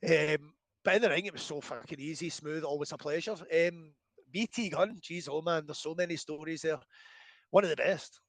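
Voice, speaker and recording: The speaker is a man with a fairly high pitch. He keeps a moderate pace. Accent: Scottish. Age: 40s. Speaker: professional wrestler. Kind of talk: casual interview chat. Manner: animated.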